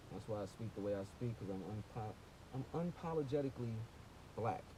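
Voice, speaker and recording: In a Brooklyn accent, a man talks at a fairly quick pace with lively intonation. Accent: New York, Brooklyn. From New York, Brooklyn (Flatbush). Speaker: rap artist. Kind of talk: casual monologue vlog. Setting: in a car. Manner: animated.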